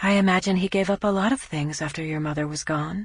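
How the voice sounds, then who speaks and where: Over a quiet background, a woman uses a put-on character voice. She has medium pitch and goes at a very fast pace. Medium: read story.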